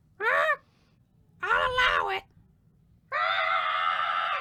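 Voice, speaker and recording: A put-on character voice, shouting at an extremely high pitch. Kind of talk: comic overacting. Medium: audio drama. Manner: loud, erratic, punctuated by squawking "Ah!".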